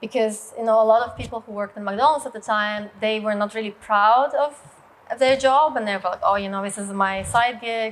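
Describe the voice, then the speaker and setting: A woman's fairly high voice in a Russian accent, fairly quick, with ordinary pitch variation and big swings in loudness. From Russia, rural village. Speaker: business leader and martial arts co-founder. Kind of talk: personal story talk. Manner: hesitant, many fillers.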